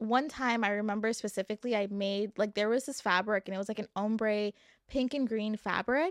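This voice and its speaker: A woman with a normal speaking voice talks at a moderate pace and a fairly high pitch, with fairly even intonation. The sound is dry and close with no echo, in a very clean recording with a silent background. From New York. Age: 20s. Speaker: podcast host and entrepreneur. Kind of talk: casual chat.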